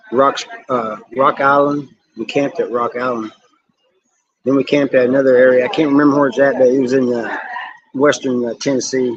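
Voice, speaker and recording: A man with an American accent, fairly quick, flat and monotone, with long, frequent pauses. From southern Missouri. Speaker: YouTube live streamer. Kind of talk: casual live-stream chat with viewers. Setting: live stream.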